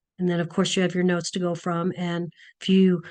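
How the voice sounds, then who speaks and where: A woman's unremarkable speaking voice at medium pitch and a fairly quick pace, with a quiet background. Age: 60s. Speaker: nursing instructor. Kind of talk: online class lecture. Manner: casual, many fillers.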